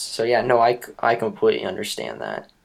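A man with an American accent talks at a medium pitch, with vocal fry. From US South, Florida. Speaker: law student and podcaster. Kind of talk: casual chat.

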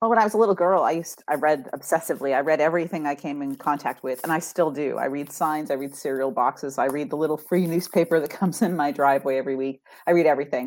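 A woman with an American accent talks at a very fast pace with hardly any pauses. Her pitch is very deep and low, with ordinary variation. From US Northeast. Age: 50s. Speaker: author and ghostwriter. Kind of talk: interview.

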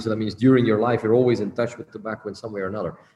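Over noticeable background noise, a man talks at a fairly low pitch in a monotone, flat intonation. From Belgium. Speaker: cigar company owner. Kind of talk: interview. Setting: video call. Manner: halting.

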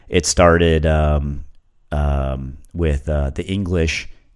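A man's voice, very deep and low in pitch. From US South. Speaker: ginger beer brewer and podcast host. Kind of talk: casual monologue. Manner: casual, halting with fillers.

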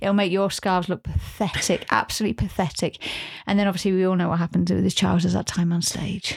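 A woman of medium pitch speaks in an unremarkable speaking voice with fairly even intonation. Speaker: podcast host. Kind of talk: casual chat.

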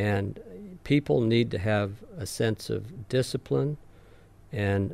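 Vocal fry runs through this very slow delivery, which has ordinary pitch variation. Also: man. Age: 70s. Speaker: retired sociology instructor. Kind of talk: casual interview, personal story.

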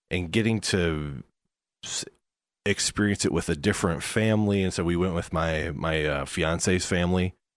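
The recording is very clean, with a silent background. A man speaks at a moderate pace in a very deep, low pitch with ordinary pitch variation. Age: 30s. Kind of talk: casual chat.

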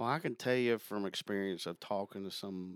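Fairly low in pitch, a man with an American accent has an unremarkable speaking voice. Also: dry, close sound with no echo. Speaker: sales account manager. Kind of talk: casual interview chat.

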